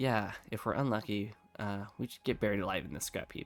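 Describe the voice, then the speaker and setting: Putting on a rumbling character voice, a man talks at a fairly low pitch and a fairly quick pace with ordinary pitch variation. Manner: annoyed and grumbling.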